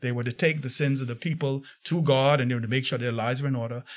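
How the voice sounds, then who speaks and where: Over a quiet background, a man speaks at a fairly high pitch, somewhat breathy. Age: 60s. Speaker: pastor. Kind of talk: interview.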